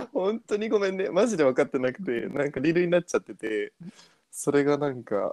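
A man at a fairly quick pace and high pitch, with very wide pitch swings and a dry, close sound with no echo. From abroad (returnee). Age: 20s. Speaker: podcast co-host. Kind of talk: casual chat.

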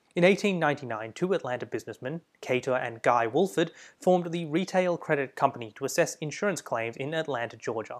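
Very fast speech from a man with a fairly high pitch, lively intonation and an Australian accent, on a very clean recording with a silent background. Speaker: history podcast host. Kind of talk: scripted narration.

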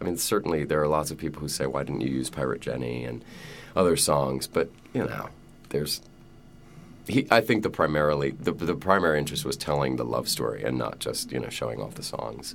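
A very deep, low male voice with vocal fry, lively intonation and a very fast pace. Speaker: stage actor. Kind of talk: interview.

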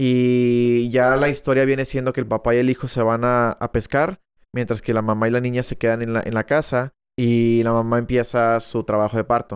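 Speaking at a moderate pace with a monotone, flat intonation, a man at medium pitch comes across in a dry, close sound with no echo. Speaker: film podcast co-host. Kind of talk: casual chat. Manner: loud.

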